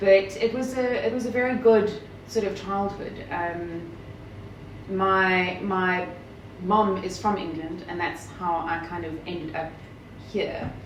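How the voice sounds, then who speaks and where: With long, frequent pauses, a woman speaks at a very slow pace, her medium pitch showing ordinary variation. Both audible room echo and noticeable background noise are present. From South Africa, Kimberley. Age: 30s. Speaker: journalist. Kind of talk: interview.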